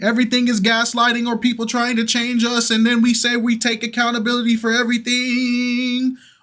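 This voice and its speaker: A man's raised, projected voice, extremely high-pitched and animated in tone, at a moderate pace. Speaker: reaction youtuber. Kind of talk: casual chat. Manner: loud.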